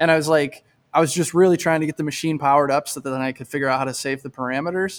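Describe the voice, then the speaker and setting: Speaking very fast with an American accent, a man keeps a fairly high pitch and fairly even intonation. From Michigan. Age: 30s. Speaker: bicycle frame builder. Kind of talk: casual chat.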